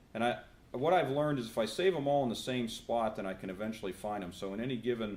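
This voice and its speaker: With a Pittsburgh accent, the speaker talks at a fairly quick pace using lively intonation, and the room echo is audible. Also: man. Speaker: professor. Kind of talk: conference presentation with live software demo.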